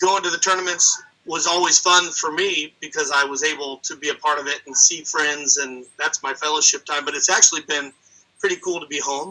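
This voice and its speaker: An ordinary speaking voice from a man, fairly high-pitched, with a fairly quick pace and fairly even intonation. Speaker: wrestling announcer and teacher. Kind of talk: interview answer.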